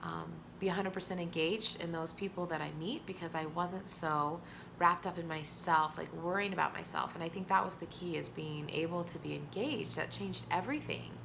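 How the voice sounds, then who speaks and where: Audible room echo colors a woman's voice as she talks at a fairly quick pace. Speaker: author and vlogger. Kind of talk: personal vlog monologue. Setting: alone, self-recorded video. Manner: loud.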